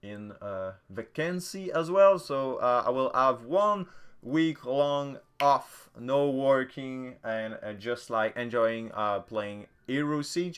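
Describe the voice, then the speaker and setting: There's a quiet background as a man speaks at a very slow pace in a French accent. His medium pitch carries lively intonation. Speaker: gaming content creator. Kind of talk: casual patch notes commentary. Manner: hesitant, many filler sounds; casual.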